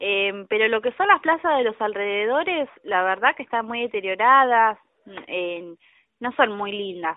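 A woman has an ordinary speaking voice, fairly high in pitch, with lively intonation. She talks at a fairly slow pace. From Argentina, Caseros, Buenos Aires province. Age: 40s. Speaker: caller. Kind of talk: radio call-in opinion.

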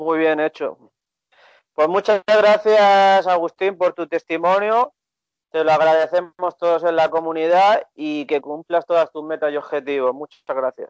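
A high-pitched man at a fairly slow pace. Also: ordinary pitch variation. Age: 30s. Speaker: podcast host, dating coach. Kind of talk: casual interview.

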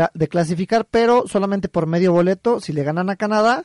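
This man has a high pitch and ordinary pitch variation. He speaks at a moderate pace in a dry, close sound with no echo. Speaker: sports radio co-host. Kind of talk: casual chat.

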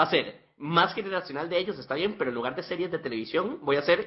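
This man has an unremarkable speaking voice, pitched fairly high. He talks at a fairly quick clip with lively intonation. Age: 20s. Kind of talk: casual chat.

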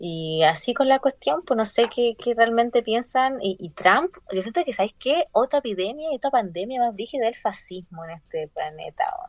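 A woman with a Chilean accent, high pitch and very wide pitch swings at a moderate pace, in a dry, close sound with no echo. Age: 20s. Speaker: podcast guest. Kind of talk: casual chat.

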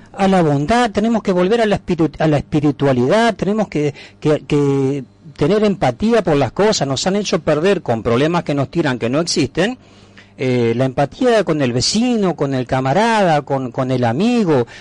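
Dry and close with no echo, a man's fairly high voice makes very wide pitch swings while his loudness stays very even. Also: moderate pace. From Entre Ríos, Argentina (Paraná). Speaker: activist, patriotic movement founder. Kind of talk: radio interview. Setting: radio studio.

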